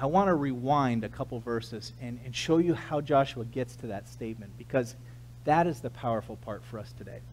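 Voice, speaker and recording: In an American accent, a man talks at a fairly quick pace with big swings in loudness and audible room echo. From US West Coast, San Diego, California. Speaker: pastor. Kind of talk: sermon.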